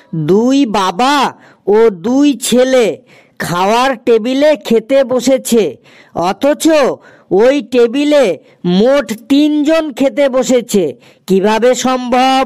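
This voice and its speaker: A cartoonish character voice comes through at a fairly high pitch and a very slow pace. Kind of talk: cartoon riddle show. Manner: playful, rhythmic riddling.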